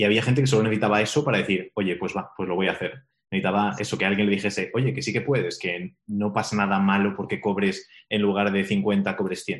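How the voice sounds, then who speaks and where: A man with a Spanish accent speaks fairly quickly in a fairly low voice with fairly even intonation. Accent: Peninsular Spanish. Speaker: podcast host and business mentor. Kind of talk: interview.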